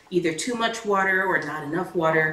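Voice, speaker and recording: In a room with audible echo, a woman speaks at a fairly quick pace in a fairly low pitch, varying it in an ordinary way. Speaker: home cooking host. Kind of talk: tutorial. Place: kitchen.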